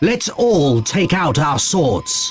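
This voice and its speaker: The man puts on a character voice pitched high. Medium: read story.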